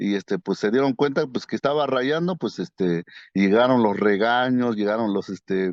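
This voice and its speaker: Speaking with an Oaxacan accent, a man at medium pitch talks at a moderate pace with lively intonation. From Mazatec highlands, Oaxaca, Mexico. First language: Mazatec (speaking Spanish). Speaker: painter. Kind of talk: interview. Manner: halting, many fillers.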